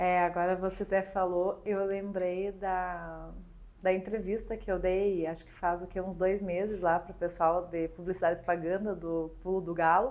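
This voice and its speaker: A woman with a Rio Grande do Sul accent speaks at a moderate pace and medium pitch, her intonation flat and monotone while her loudness swings widely. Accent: Rio Grande do Sul (gaúcho). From Rio Grande do Sul, southern Brazil. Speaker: magazine founder and usual podcast host. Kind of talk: podcast interview.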